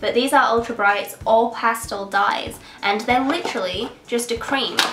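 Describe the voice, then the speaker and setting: With an English accent, a woman speaks at a moderate pace in a fairly high pitch and fairly even intonation, with music in the background and audible room echo. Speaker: beauty YouTuber. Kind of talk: casual vlog. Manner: sniffling.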